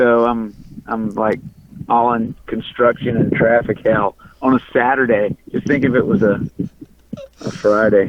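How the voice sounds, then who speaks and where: A man's fairly slow, monotone, flat speech in a Louisiana accent, with long, frequent pauses over noticeable background noise. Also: medium pitch for a man. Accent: Louisiana drawl. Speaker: punk and country musician. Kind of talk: casual interview. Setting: in a car, driving in traffic. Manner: halting, repeats words.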